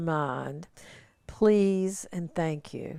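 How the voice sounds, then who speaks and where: A woman with an American accent, a dark, mellow tone and lively intonation. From US South. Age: 70s. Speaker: retired nurse. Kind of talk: casual interview.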